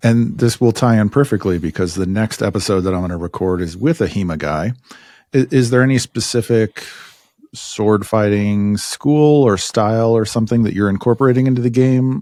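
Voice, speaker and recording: A man speaks at a medium pitch with a dark, mellow tone and ordinary pitch variation. His moderate pace comes through in a dry, close sound with no echo. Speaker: podcast host. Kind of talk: interview questions.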